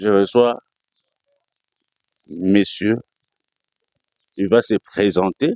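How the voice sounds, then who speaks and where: At a very slow pace, a man talks in a fairly low pitch, recorded with a dry, close sound and no echo. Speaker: TV show host. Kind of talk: TV interview.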